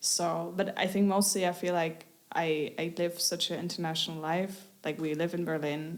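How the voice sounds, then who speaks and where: A woman's fairly low voice with monotone, flat intonation. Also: moderate pace. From Germany, Munich area. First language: German. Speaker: singer-songwriter. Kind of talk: interview. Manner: halting.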